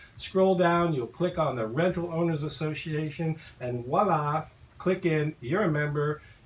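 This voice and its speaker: A man speaks at a moderate pace with fairly high pitch and ordinary pitch variation. Noticeable background noise is present. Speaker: property manager. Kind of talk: radio talk show.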